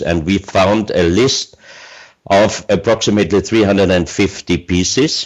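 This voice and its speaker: This man speaks. He has an Austrian accent. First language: German. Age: 60s. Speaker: researcher of mysterious artifacts. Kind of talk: interview. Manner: halting, many fillers.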